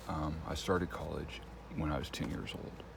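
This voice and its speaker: A man's voice comes through with audible room echo amid noticeable background noise. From Texas Panhandle. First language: Spanish. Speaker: vlogger. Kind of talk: casual monologue. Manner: rambling with fillers.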